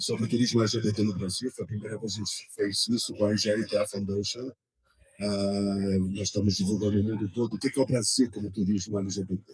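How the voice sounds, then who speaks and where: Very fast, somewhat breathy speech in a monotone, flat intonation. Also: man, fairly low pitch for a man. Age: 60s. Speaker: tourism association director. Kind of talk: panel discussion. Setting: trade fair stand.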